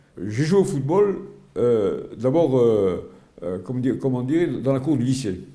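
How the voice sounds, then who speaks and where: Lively intonation from a man with a dark, mellow tone, medium in pitch, at a fairly slow pace amid audible room echo. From Algeria (Oran), pied-noir. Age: 80s+. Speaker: retired sports journalist and volunteer. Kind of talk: interview testimony. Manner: halting, many repetitions and hesitations.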